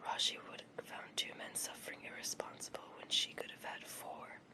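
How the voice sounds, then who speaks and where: Whispering fills the clip at a fairly slow pace. Behind it sits noticeable background noise. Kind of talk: memoir reading. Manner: whispered.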